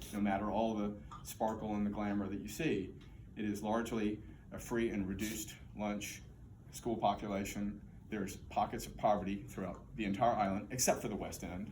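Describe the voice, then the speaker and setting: Fairly quick, fairly evenly intoned speech in an American accent, with audible room echo. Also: man, fairly low pitch for a man. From Texas, Houston. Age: 60s. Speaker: political candidate, former mayor. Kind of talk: campaign speech. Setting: political forum with audience.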